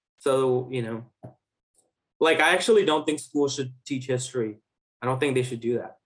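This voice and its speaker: A man with a New York accent, medium pitch, ordinary pitch variation and a moderate pace broken by long, frequent pauses. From Flushing, Queens, New York (born in Bangladesh, moved at six). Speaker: rapper. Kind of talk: interview. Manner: casual.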